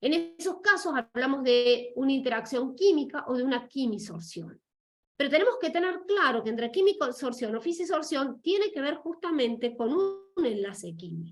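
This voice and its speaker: Here a woman speaks in a high pitch. Her pitch swings very widely. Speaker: lecturer. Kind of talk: lecture. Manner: fast; halting.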